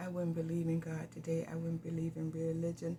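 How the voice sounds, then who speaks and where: Speaking at a fairly quick pace, a woman has a fairly low, somewhat breathy voice with a dark, mellow tone. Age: 70s. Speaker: pastor. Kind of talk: personal testimony.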